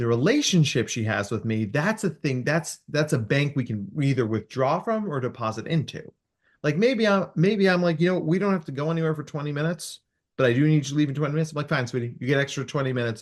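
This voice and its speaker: Against a quiet background, a man talks very fast in a somewhat breathy, animated voice with fairly high pitch and lively intonation. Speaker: clinical psychologist. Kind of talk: podcast interview.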